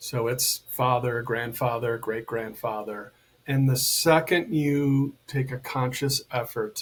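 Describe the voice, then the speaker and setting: With an American accent, a man speaks in a plain, everyday voice at a fairly high pitch and with fairly even intonation. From United States. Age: 60s. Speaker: men's coach and healer. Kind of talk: podcast interview.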